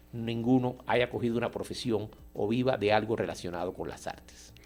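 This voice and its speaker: A man talks in an unremarkable speaking voice, medium-pitched, with ordinary pitch variation and a moderate speed. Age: 60s. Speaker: artist and painter. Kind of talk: radio interview.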